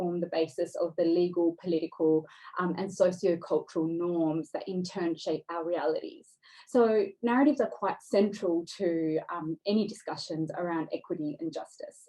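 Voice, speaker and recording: A woman with an Australian accent speaks at a medium pitch with ordinary pitch variation. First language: Dari. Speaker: writer and speaker on displacement. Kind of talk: seminar talk. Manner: hesitant, many fillers.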